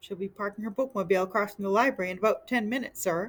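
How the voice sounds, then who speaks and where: A squeaky, put-on character voice rattles along at a very fast pace. The pitch is fairly high, with ordinary variation. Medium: read story. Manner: nervous.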